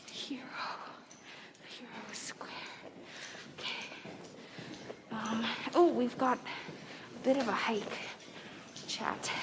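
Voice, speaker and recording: Whispering at a very slow pace, a woman is heard with audible room echo and noticeable background noise. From Canada. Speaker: livestreamer. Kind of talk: casual chat.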